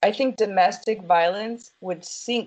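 A woman with an American accent, very slow pace and ordinary pitch variation. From United States. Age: 30s. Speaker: polyamorous interviewee. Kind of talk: interview.

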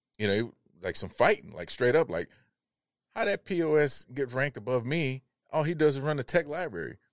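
A man with an American accent speaks at medium pitch and a moderate pace, with vocal fry. The background is quiet and the sound is dry and close, with no echo. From US Midwest, Chicago (South Side). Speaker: retired Navy veteran. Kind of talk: casual interview conversation. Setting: studio.

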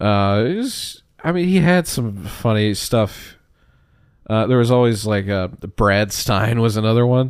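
A plain, everyday voice from a man, medium in pitch and lively in intonation, at a fairly slow pace on a very clean recording with a silent background. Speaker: comedian. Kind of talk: casual interview chat.

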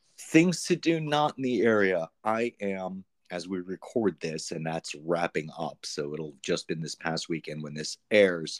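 With hardly any pauses, a man speaks in a very deep, low voice with lively intonation, recorded dry and close with no echo. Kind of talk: casual chat.

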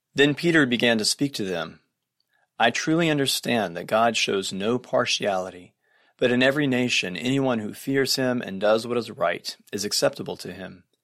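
Recorded very cleanly against a silent background, a man speaks in a normal speaking voice at medium pitch and a moderate pace with lively intonation. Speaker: Episcopal priest. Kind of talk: scripture reading aloud.

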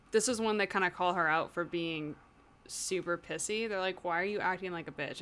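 A woman's medium-pitched, animated voice with ordinary pitch variation, on a very clean recording with a silent background. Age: 20s. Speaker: podcast co-host, classical musician. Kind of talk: casual chat, book discussion podcast. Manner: animated, laughs often.

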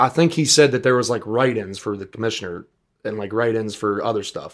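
An American-accented man with a normal speaking voice talks at medium pitch with ordinary pitch variation, in a very clean recording with a silent background. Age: 20s. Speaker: singer. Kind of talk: casual chat.

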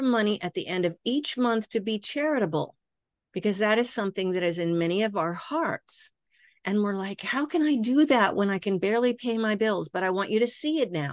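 A plain, everyday voice from a woman at a medium pitch and fairly quick pace, dry and close with no echo, over a quiet background. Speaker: hypnosis educator and founder. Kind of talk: guided meditation.

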